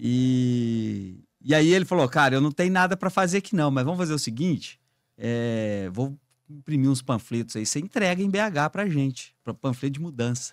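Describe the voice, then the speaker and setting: This man speaks with a southern Minas Gerais accent and lively intonation. The recording is very clean, with a silent background. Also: fairly high pitch for a man, moderate pace. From southern Minas Gerais, Brazil (Três Pontas). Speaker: business executive, trade union president. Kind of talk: podcast interview.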